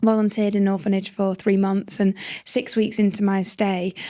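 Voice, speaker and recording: A woman with a British accent and a dark, mellow tone at a medium pitch, moderate pace and monotone, flat intonation, in a very clean recording with a silent background. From northern England. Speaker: social entrepreneur. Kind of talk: interview storytelling. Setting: podcast.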